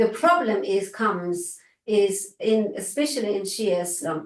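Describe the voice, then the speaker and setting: This woman has a fairly high pitch and speaks with an Iranian accent. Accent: Iranian (Persian) accent in English. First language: Farsi. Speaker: researcher and lecturer. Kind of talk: academic Q&A discussion. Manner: halting, with fillers.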